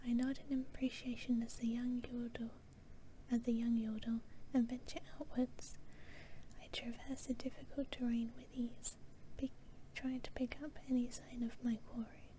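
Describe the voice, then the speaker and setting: A woman's high voice in a British accent, flat and monotone, with long, frequent pauses. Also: moderate pace. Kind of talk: story reading. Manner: soft-spoken.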